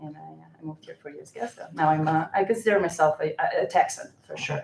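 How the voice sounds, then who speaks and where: A woman talks at a very fast pace, with big swings in loudness. Noticeable background noise runs underneath. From Moldova. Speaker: energy company representative. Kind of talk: public meeting presentation. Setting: county commissioners court meeting.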